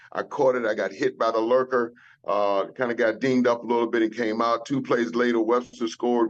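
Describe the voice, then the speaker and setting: A man with an ordinary speaking voice and a medium pitch talks at a fairly quick pace. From US South. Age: 60s. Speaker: retired football player. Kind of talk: casual chat.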